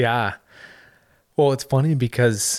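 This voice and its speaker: An ordinary speaking voice in a Canadian accent, at a fairly slow pace with fairly even intonation, on a very clean recording with a silent background. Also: man. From Ottawa, Canada. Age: 20s. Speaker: former pro hockey player. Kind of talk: casual interview.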